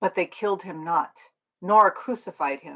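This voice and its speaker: A woman with an unremarkable speaking voice talks fairly slowly at a medium pitch, with ordinary pitch variation. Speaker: minister and denominational staff member giving a sermon. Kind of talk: sermon / religious talk.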